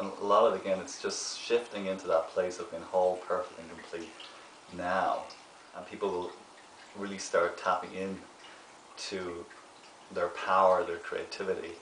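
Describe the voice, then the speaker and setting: A man talks at a moderate pace with long, frequent pauses and big swings in loudness. Audible room echo and light background noise come through. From Ireland. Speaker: actor and meditation therapist. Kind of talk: interview answer. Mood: warm, earnest, gentle. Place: home room.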